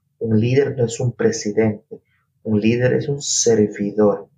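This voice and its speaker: A man speaks at a very slow pace in a medium pitch, his tone dark and mellow. His voice is somewhat breathy, with fairly even intonation. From coastal Ecuador (Guayas province). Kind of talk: interview.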